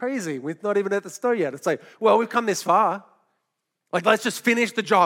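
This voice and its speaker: A man with an Australian accent at a fairly quick pace, with ordinary pitch variation. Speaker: pastor. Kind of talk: sermon. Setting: church.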